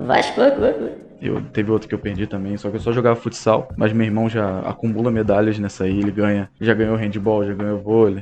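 A man speaks in a fairly low pitch with monotone, flat intonation. His pace is fairly quick, with hardly any pauses. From Brazil, Rio de Janeiro (Bangu). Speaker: sports podcaster. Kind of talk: solo casual monologue.

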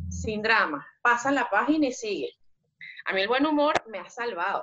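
With lively intonation and some vocal fry, a woman speaks at a moderate pace in a fairly high pitch. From Venezuela. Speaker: migrant guest. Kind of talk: testimony.

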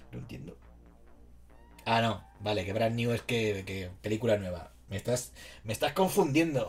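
A man at medium pitch with vocal fry, a moderate pace and very wide pitch swings, on a very clean recording with a silent background. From Spain, Alicante (San Vicente). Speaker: livestreamer. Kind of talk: casual chat. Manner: animated.

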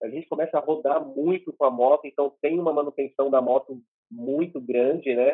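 His pitch is fairly high for a man. He talks at a moderate pace. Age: 30s. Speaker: motorcycle delivery courier. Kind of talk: interview testimony. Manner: halting, many repetitions.

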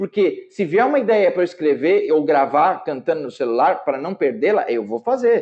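Pitched high, a man speaks with very wide pitch swings and hardly any pauses. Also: moderate pace. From São Paulo, Brazil. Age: 40s. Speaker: jazz guitarist. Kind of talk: casual interview.

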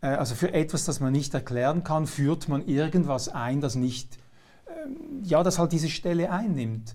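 A man's somewhat breathy, fairly high voice, dark and mellow in tone, with ordinary pitch variation and a moderate pace. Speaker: talk show host. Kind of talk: interview.

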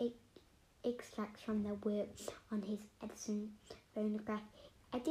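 Someone is doing plain reading aloud here.

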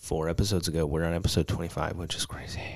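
Vocal fry comes through on a very clean recording with a silent background. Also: man. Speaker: podcast co-host, artist. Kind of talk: casual chat.

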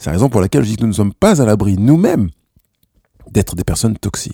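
A man's dark, mellow voice with very wide pitch swings, dry and close with no echo. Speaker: personal development podcaster. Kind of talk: self-help monologue. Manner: hesitant with fillers.

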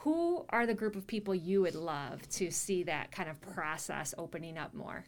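With a normal speaking voice, a woman talks at a moderate pace and medium pitch, her intonation lively and hardly any pauses between words. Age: 40s. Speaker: podcast host and public speaking teacher. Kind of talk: interview.

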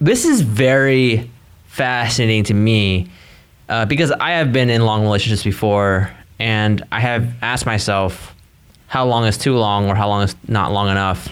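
A man's plain, everyday voice at a medium pitch and moderate pace, with fairly even intonation and very even loudness. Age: 20s. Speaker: advice podcast co-host. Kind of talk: casual chat.

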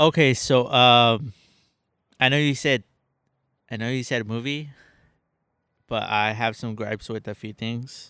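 A man speaks at medium pitch with a bright, sharp tone and fairly even intonation, leaving long, frequent pauses. The recording is very clean, with a silent background and a dry, close sound with no echo. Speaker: guest on podcast. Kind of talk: casual chat. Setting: outdoors in a backyard.

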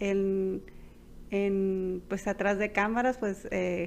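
Here a woman talks at a very slow pace. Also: quiet background. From Culiacán, Sinaloa, Mexico. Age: 30s. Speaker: high school teacher and podcast co-host. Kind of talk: casual chat. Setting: homemade recording at home. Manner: hesitant, many fillers.

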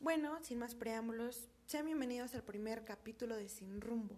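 Against noticeable background noise, a woman talks at a moderate pace. Her pitch is fairly high, with ordinary pitch variation. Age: 20s. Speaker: podcast host, university student. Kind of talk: casual podcast monologue.

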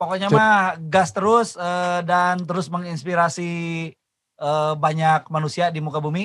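A man's high-pitched voice, fairly slow in pace, with fairly even intonation. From West Java, Indonesia (Sukabumi). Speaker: podcast host and musician. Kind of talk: casual podcast chat.

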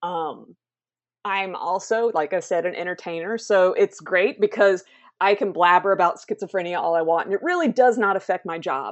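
An upbeat woman's voice with a Southern US accent, medium pitch, ordinary pitch variation and a moderate pace. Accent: Southern American. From South Carolina, US South. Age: 30s. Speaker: mental health advocate and entertainer. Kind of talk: interview. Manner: upbeat, laughs often.

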